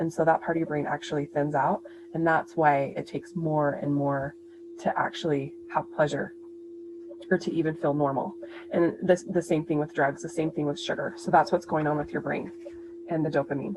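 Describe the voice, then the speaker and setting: A woman talks at a fairly quick pace in a very deep, low pitch. Her intonation stays fairly even over noticeable background noise. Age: middle-aged. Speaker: nurse and health coach. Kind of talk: educational presentation. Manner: sped up.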